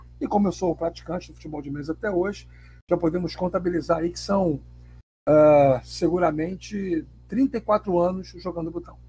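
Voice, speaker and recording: This man's voice sits high in pitch, with ordinary pitch variation. He keeps a moderate pace. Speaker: journalist and table football player. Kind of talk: interview. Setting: remote recording app.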